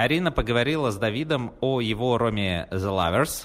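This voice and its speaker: This man's voice moves in very wide pitch swings. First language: Russian. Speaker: podcast host. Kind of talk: podcast intro.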